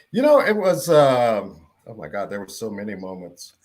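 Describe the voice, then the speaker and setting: A man with an American accent, lively intonation and a moderate pace, a plain, everyday voice. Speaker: radio broadcaster. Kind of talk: casual panel chat.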